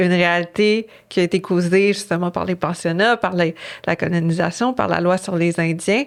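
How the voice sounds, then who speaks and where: A woman with a fairly low pitch at a fairly slow pace. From Innu community, Quebec. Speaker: author. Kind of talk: interview. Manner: halting, many fillers.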